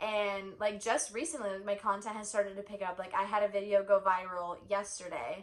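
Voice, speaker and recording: In a normal speaking voice, a woman at medium pitch talks at a fairly quick pace with hardly any pauses and fairly even intonation. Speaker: vlogger. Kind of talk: casual chat.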